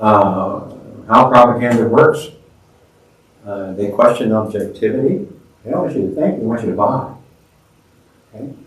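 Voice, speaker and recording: A man speaks at a moderate pace with long, frequent pauses. Audible room echo surrounds his voice. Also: medium pitch for a man, ordinary pitch variation. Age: 70s. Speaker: teacher. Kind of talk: lecture.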